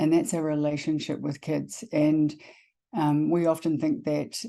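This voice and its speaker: A woman's very deep, low voice, dark and mellow in tone, in monotone, flat intonation, over a quiet background. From New Zealand. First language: Māori. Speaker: education consultant, former school leader. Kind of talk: webinar presentation. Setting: online webinar.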